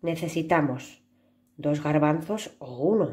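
A woman speaks with a very deep, low pitch. Her tone is dark and mellow, and somewhat breathy. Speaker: preschool teacher. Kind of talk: craft tutorial for children.

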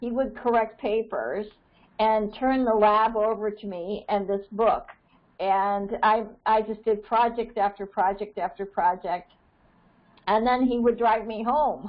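In an American accent, a woman talks at a fairly slow pace with a fairly high pitch and fairly even intonation. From Maine, US. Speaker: birding society organizer. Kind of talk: meeting facilitation. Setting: conference call. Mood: warm, reminiscing. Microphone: earbuds.

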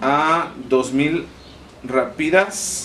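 Light background noise runs through the recording. A man is the one talking. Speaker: family vlogger. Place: home room. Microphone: camera far.

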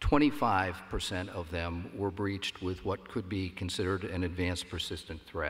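A man's very deep, low voice at a fairly slow pace, somewhat breathy, with ordinary pitch variation and hardly any pauses. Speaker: panel moderator. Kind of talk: conference panel Q&A. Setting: stage with audience. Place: hall. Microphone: podium.

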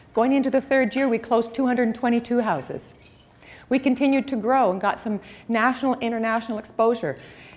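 The woman talks at a moderate speed. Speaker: speaker. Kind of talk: motivational talk. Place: hall. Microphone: lapel.

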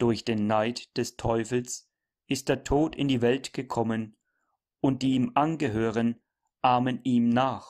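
Very slowly and in a monotone, flat delivery, a man with a medium pitch and a solemn tone speaks in a very clean recording with a silent background and a dry, close sound with no echo. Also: very even loudness. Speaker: preacher. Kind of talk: sermon read aloud. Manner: solemn, formal, measured; earnest, admonishing, didactic.

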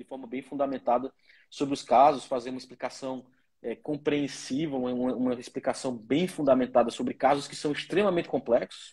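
This man speaks in an ordinary speaking voice at medium pitch. His pace is fairly quick and his intonation fairly even. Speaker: lawyer. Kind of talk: interview.

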